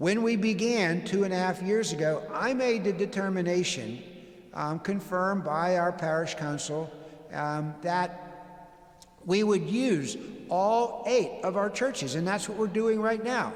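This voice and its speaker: Over noticeable background noise and audible room echo, a man speaks at a fairly slow pace in a high pitch. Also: ordinary pitch variation. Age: 60s. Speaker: pastor. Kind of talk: town hall presentation. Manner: halting, many fillers.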